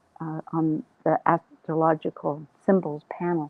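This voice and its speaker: This woman's voice sits at a fairly low pitch. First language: not English. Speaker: astrology show host. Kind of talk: panel introduction.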